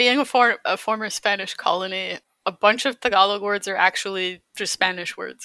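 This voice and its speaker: In a Canadian accent, the voice has a bright, sharp tone, fairly even intonation and a moderate pace. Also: woman, medium pitch for a woman. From Calgary, Canada. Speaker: illustrator and concept artist. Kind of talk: casual interview chat.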